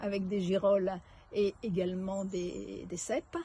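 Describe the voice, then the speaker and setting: Medium in pitch, a woman speaks with a somewhat breathy voice. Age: 70s. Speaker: retired executive, retreat participant. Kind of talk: testimonial interview. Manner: halting.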